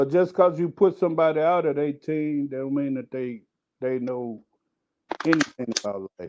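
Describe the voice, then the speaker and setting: At a moderate pace, a man speaks with ordinary pitch variation and big swings in loudness. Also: fairly high pitch for a man. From Chicago, South Side. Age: 60s. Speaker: panelist. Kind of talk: casual discussion.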